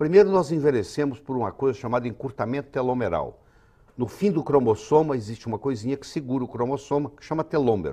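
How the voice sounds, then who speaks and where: An unremarkable speaking voice moves at a fairly quick pace with lively intonation over a quiet background. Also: man. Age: 60s. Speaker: physician and author. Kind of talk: TV health interview.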